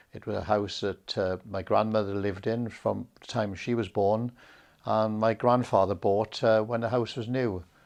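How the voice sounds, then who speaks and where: In a quiet background, a man speaks with a fairly low pitch. His intonation is flat and monotone. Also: moderate pace. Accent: Welsh. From South Wales, Rhondda (Ferndale). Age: 70s. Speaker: interviewee recounting his life. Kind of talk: oral history interview. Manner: hesitant, many fillers.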